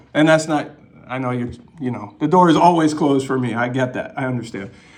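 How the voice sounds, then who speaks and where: A man's fairly quick speech with ordinary pitch variation and audible room echo. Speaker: citizen journalist filming police. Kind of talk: vlog narration and on-camera questioning.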